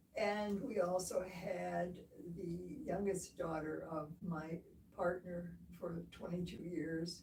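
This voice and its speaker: Audible room echo follows a woman speaking very slowly at a fairly low pitch with fairly even intonation. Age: 90. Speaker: surgery patient. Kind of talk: casual interview.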